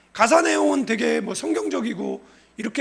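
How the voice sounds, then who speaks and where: A man's voice, with audible room echo and noticeable background noise. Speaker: pastor. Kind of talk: sermon.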